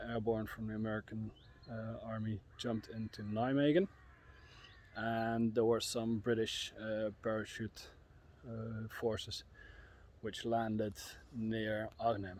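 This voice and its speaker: A man speaks at a medium pitch and a fairly slow pace, with a flat, monotone delivery. His long pauses come often. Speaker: history tour guide. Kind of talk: casual talk to camera. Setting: outdoors. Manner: soft-spoken, quiet; hesitant, many filler sounds.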